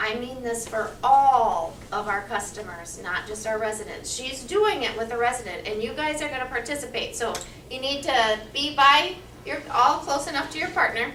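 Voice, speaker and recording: A high-pitched woman at a moderate pace, with noticeable background noise and audible room echo. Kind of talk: staff training session.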